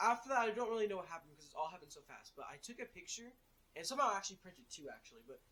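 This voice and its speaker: Raised and projected, a man's high, bright, sharp voice races along at a very fast pace with lively intonation. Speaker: youtuber. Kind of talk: casual storytelling; voiceover narration.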